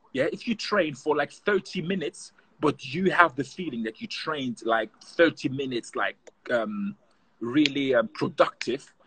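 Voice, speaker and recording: A man's voice with very wide pitch swings, dry and without echo. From Germany. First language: German. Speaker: professional footballer; guest. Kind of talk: casual interview. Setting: video call. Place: garden. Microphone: video call.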